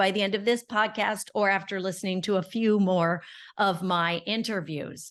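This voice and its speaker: Over a quiet background, a plain, everyday voice goes at a moderate pace. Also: woman. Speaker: podcast host. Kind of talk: podcast interview.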